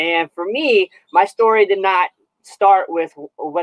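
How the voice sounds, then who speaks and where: The speaker has a Californian accent. The pace is fairly slow. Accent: General American (Californian). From Southern California. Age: 30s. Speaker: Paralympic athlete. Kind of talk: interview. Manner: halting, many fillers and repeats.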